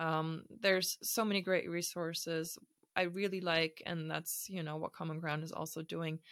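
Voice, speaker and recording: Speaking in a German accent, a woman keeps a monotone, flat intonation, a fairly low pitch and a moderate pace. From Germany, Hamburg. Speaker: startup founder. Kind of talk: interview conversation.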